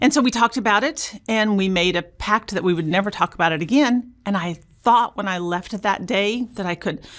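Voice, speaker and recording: In a very clean recording with a silent background, a woman with an American accent and an ordinary speaking voice talks at a moderate pace and medium pitch, with ordinary pitch variation. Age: 60s. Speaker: abuse survivor sharing her story. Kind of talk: interview testimony.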